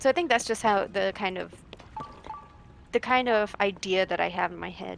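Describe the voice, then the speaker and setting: A woman at a moderate pace with long, frequent pauses and noticeable background noise. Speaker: game streamer. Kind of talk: casual chat.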